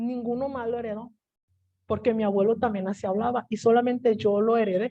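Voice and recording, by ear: A dark, mellow tone at a moderate pace, with a dry, close sound and no echo. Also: woman.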